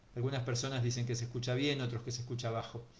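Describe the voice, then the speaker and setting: In audible room echo, a man speaks at a medium pitch and fairly quick pace, somewhat breathy and with monotone, flat intonation. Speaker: teacher giving a talk. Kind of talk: online lecture. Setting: online video talk. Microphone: too quiet for some listeners.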